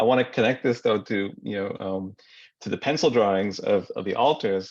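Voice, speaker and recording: A man with a fairly low pitch speaks at a very fast pace against a quiet background. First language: Marathi. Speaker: writer. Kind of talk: panel discussion. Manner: halting, with many repetitions.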